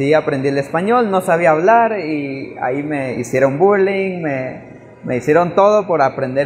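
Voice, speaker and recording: A man in a Chiapas accent, fairly high-pitched and fairly slow, with lively intonation and noticeable background noise. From Chiapas, Mexico (Tseltal community). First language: Tseltal (speaking Spanish). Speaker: missionary. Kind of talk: testimony. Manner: halting.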